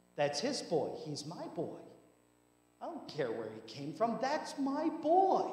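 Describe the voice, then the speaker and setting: Extremely high male voice at a very slow pace, with very wide pitch swings, big swings in loudness and audible room echo. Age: 30s. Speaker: pastor. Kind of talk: sermon. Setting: church. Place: church.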